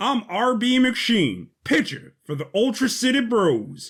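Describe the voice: In a put-on character voice, a man speaks slowly at an extremely high pitch, his voice swinging very widely in pitch and carrying a slightly husky edge.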